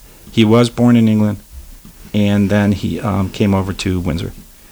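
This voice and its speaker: A man with an American accent speaks at a fairly low pitch with ordinary pitch variation. Noticeable background noise runs beneath him. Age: 30s. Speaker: radio DJ. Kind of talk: casual chat. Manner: animated.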